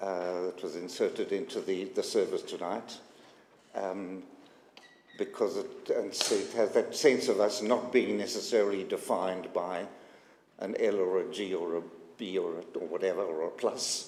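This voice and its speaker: A moderate pace in a South African accent. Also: man. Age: 80s+. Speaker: synagogue community member. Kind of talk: personal testimony. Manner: halting, many fillers.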